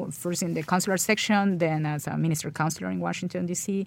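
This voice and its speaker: A woman's fairly low voice in a Spanish accent, on a very clean recording with a silent background. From Colombia. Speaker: ambassador. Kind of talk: interview. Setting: studio. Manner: halting.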